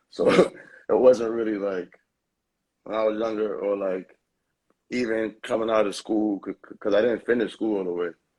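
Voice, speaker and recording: A man speaks with a New York accent. His pitch is fairly low. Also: moderate pace. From New York, Lower East Side. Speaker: rapper. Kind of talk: interview. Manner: halting.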